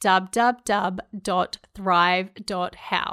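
A woman speaks in a New Zealand accent. The recording is very clean and silent behind her, with a dry, close sound and no echo. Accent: New Zealand (Kiwi). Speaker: podcast host. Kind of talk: solo podcast monologue.

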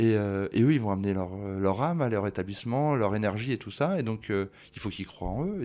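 Over a silent background in a very clean recording, a man talks at a very fast pace. His fairly low voice has a dark, mellow tone and ordinary pitch variation. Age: 40s. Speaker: bar franchise co-founder. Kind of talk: interview.

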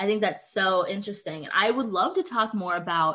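With a normal speaking voice, a woman talks at a medium pitch and keeps her intonation fairly even. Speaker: podcast host. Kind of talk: casual chat.

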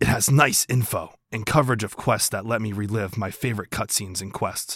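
A man's raspy, put-on character voice, fairly low in pitch, at a fairly quick pace. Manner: edgy.

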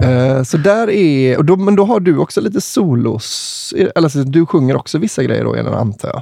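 A man at a moderate pace with hardly any pauses. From Kungälv area near Marstrand, west Sweden. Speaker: podcast host, musician. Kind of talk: casual chat.

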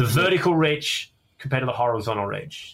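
In an Australian accent, a man speaks at a fairly quick pace with a fairly high pitch and ordinary pitch variation. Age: 30s. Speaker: comedian. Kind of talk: casual chat. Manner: halting.

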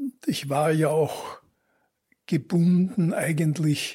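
Fairly high-pitched and somewhat breathy, a man speaks at a very slow pace. The recording is very clean, with a silent background. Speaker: journalist. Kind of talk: interview.

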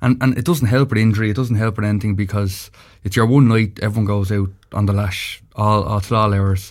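A man with a fairly low voice speaks at a fairly quick pace and with fairly even intonation, on a very clean recording with a silent background. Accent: Dublin. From Dublin, Ireland. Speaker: former county hurler and pundit. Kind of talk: casual sports chat. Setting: studio.

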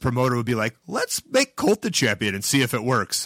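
A man with a medium pitch and a bright, sharp tone talks at a fairly quick pace in a dry, close sound with no echo. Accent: Chicago. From Chicago, US Midwest. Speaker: pro wrestler and comedian. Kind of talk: casual chat.

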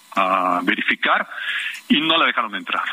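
Fairly slow speech from a man, with noticeable background noise behind it. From Mexico City. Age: 60s. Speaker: neighborhood activist. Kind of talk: phone interview.

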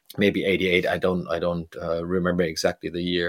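A man speaks with a German accent. The recording is very clean, with a silent background. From Germany, Bremen. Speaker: DJ and music producer. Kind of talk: interview. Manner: halting.

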